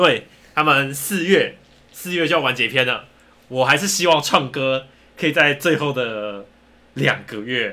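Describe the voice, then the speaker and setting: Using a bright, sharp tone, a man with a Taiwanese accent speaks at a fairly high pitch and fairly slow pace, with ordinary pitch variation and long, frequent pauses. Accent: Taiwanese Mandarin. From Taiwan, rural Hakka area. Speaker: podcast co-host. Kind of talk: casual chat.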